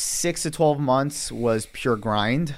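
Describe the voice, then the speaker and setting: In a very clean recording with a silent background, a man speaks fairly slowly in an ordinary speaking voice, fairly high pitched, with lively intonation. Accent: American. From New York City, Queens. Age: 20s. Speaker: young entrepreneur, online store owner. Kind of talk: podcast interview.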